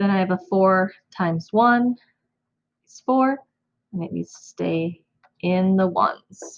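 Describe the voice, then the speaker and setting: Fairly slow delivery with big swings in loudness, long, frequent pauses and ordinary pitch variation. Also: woman, medium pitch for a woman. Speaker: elementary school teacher. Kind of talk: math tutorial for kids. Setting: home recording, own room.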